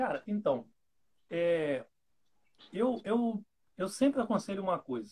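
With long, frequent pauses, a man with a high pitch speaks at a very slow pace. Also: lively intonation. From Rio de Janeiro state, Brazil. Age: 30s. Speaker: bank clerk and coffee hobbyist. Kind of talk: casual chat.

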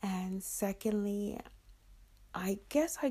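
A woman speaking, captured on a very clean recording against a silent background. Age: 50s. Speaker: podcaster and milliner. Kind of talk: solo podcast monologue.

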